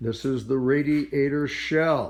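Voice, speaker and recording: Audible room echo surrounds a man speaking at a fairly slow pace in a fairly high pitch. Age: 80s+. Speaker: car builder. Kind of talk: casual video update. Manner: animated.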